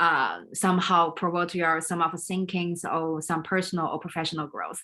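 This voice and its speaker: A woman's fairly low, bright, sharp voice in a Chinese accent, fairly slow and fairly even in intonation, on a very clean recording with a silent background. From China. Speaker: leadership coach and business consultant. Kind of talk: live stream talk. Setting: livestream video. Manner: halting.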